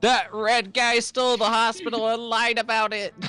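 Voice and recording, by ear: A put-on character voice at a fairly high pitch. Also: moderate pace.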